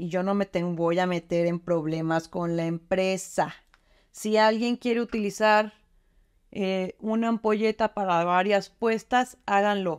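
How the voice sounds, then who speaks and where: Against a quiet background, a woman talks at a fairly slow pace with ordinary pitch variation. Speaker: beauty product demonstrator. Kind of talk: tutorial. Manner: casual, chatty. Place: bathroom. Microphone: phone near.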